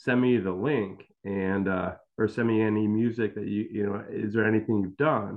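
A man with an American accent speaks in a plain, everyday voice at a fairly low pitch. His pace is moderate, his intonation fairly even, and he hardly pauses. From Chicago suburbs. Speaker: rock band guitarist. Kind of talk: casual chat.

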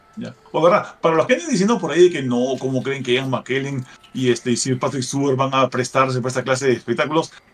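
Against noticeable background noise, a man talks very fast with hardly any pauses, using a medium pitch and ordinary pitch variation. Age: 40s. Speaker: gaming podcast co-host. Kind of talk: casual chat.

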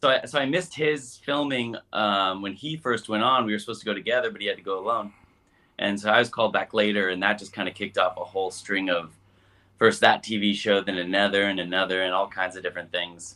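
Talking at a very fast pace, a man with an American accent has a fairly low pitch and ordinary pitch variation. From US Midwest, South Bend, Indiana. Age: young. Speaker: musician. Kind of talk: interview.

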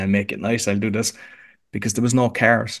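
Speaking at a fairly quick pace, a man with an Irish accent uses a medium pitch against a quiet background. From Ireland, Cork. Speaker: podcast coach. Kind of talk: interview conversation.

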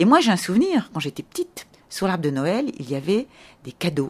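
Somewhat breathy and fairly low in pitch, a woman talks at a fairly quick pace with very wide pitch swings. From France. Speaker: tour guide. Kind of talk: interview. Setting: in a house.

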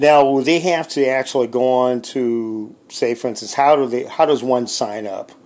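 A man with an unremarkable speaking voice talks at a moderate pace and medium pitch. He barely pauses, and his intonation stays fairly even. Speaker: sports radio host. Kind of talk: radio dj patter, brisk broadcast-style sports host spiel with ad reads and call-in plugs. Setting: studio at home.

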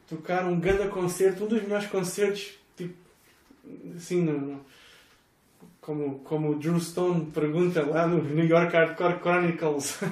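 A man with a high-pitched voice speaks with fairly even intonation and long, frequent pauses, with noticeable background noise and audible room echo. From Portugal, Algarve (Estoi, near Faro). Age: 30s. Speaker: tour manager and former hardcore musician. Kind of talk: casual chat.

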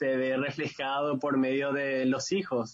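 A man speaks at a fairly slow pace in a medium pitch. His intonation stays monotone and flat. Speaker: youth leader. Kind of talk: interview.

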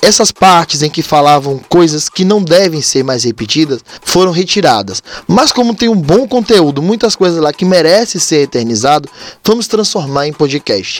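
A man's high voice at a moderate pace, full of very wide pitch swings, over noticeable background noise. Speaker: podcast host, umbanda practitioner. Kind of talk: casual religious talk.

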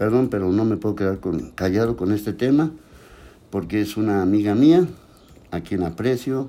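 A man with a dark, mellow tone speaks with lively intonation and long, frequent pauses. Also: fairly low pitch for a man, moderate pace. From Mexico. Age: 60s. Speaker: political commentary livestream host. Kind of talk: live solo commentary reading viewer comments. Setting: livestream on social media. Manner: casual, repetitive.

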